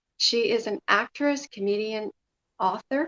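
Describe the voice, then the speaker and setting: An unremarkable speaking voice with ordinary pitch variation comes through in a dry, close sound with no echo. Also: woman. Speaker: talk show host. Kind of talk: talk show host interviewing guest.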